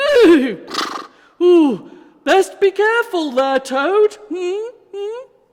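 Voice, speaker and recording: In a put-on character voice, the speaker squeaks at an extremely high pitch. The delivery is very slow, with long, frequent pauses. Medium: read story. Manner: calm, kind.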